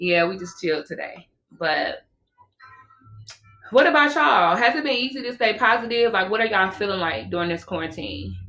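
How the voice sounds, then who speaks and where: A woman at a medium pitch and fairly quick pace, with an animated tone, lively intonation, long, frequent pauses and music in the background. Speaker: podcast co-host. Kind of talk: casual chat. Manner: loud.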